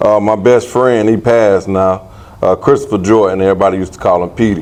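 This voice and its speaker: In a Southern US accent, a man with a fairly low pitch talks at a very fast pace with fairly even intonation. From Aiken, South Carolina. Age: 40s. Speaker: former boxer. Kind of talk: interview.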